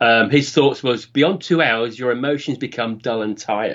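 Speaking with a British accent, a man talks at a fairly quick pace. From UK. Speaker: podcast co-host, guest. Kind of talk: casual chat.

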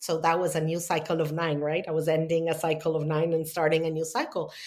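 With a Spanish accent, a woman speaks in a fairly low voice on a very clean recording with a silent background. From Argentina. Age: 50s. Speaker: spiritual teacher and healer. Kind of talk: interview. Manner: halting.

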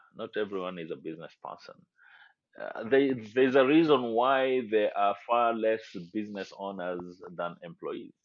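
Speaking with a Kenyan accent, a man keeps a medium pitch and a moderate pace with ordinary pitch variation. His loudness swings a lot. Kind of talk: casual interview.

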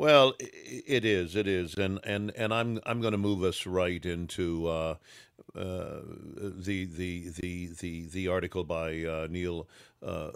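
On a very clean recording with a silent background, a man with a very deep, low pitch speaks very slowly with fairly even intonation. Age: old. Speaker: actor and playwright podcast host. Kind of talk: casual political chat.

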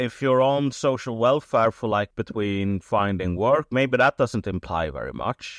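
This man speaks with a Swedish accent at a fairly slow pace. He barely pauses at all. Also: medium pitch for a man, ordinary pitch variation. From Sweden. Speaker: writer. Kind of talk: interview.

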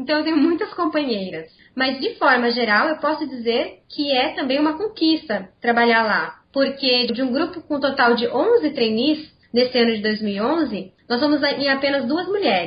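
A woman talks at a moderate pace with hardly any pauses, her high pitch moving in very wide swings. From Brazil, Campinas (São Paulo state). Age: 20s. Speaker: corporate trainee. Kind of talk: interview.

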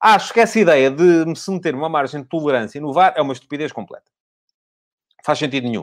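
A man's fairly high voice at a very fast pace, lively in intonation and broken by long, frequent pauses. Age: 50s. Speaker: football pundit. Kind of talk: solo commentary show. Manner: hesitant with fillers.

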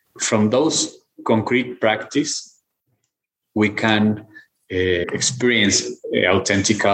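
In a Mexican accent, a man with a fairly low pitch speaks at a very slow pace and very even loudness, pausing long and often. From Guadalajara, Mexico. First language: Spanish. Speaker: philosopher and professor. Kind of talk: interview conversation. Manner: halting, with repetitions.

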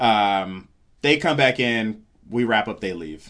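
A man's voice over a quiet background. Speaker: stand-up comedian. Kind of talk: casual interview chat. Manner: mellow, low-energy.

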